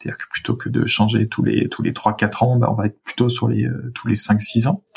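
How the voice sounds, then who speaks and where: A man's fairly low, somewhat breathy voice, monotone and flat, at a moderate pace. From France, Rhône-Alpes (Saint-Étienne suburbs). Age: 30s. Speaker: local government climate strategy director. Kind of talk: interview.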